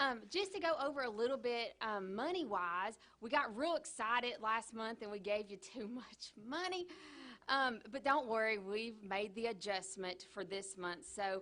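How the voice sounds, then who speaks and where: A woman speaks loudly in a Kentucky accent, her pitch fairly high. Her intonation is lively and her pace moderate. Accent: southern US (Kentucky). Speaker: county clerk. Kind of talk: public meeting report. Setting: county fiscal court meeting. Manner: animated.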